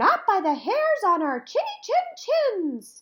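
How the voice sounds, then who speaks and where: An extremely high, squeaky put-on character voice at a fairly slow pace with very wide pitch swings. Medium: read story. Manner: panicked.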